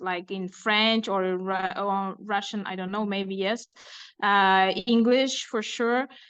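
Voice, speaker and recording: A woman speaks with an Uzbek accent at a fairly slow pace. The background is quiet. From Uzbekistan. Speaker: illustrator and author. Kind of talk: interview. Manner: halting, many fillers.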